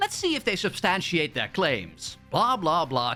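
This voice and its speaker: A man talks at a fairly quick pace in a high voice with very wide pitch swings. Noticeable background noise is present. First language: not English. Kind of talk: commentary video.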